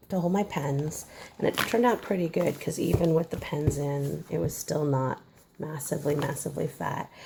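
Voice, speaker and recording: Clear background noise beneath speech with ordinary pitch variation. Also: woman. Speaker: crafter showing her art journal. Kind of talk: casual video walkthrough. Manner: hesitant, many fillers.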